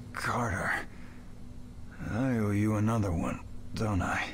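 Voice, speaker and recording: Putting on a character voice, a man talks at a fairly low pitch and fairly slow pace. Clear background noise sits behind him. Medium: game stream. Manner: stammering, halting.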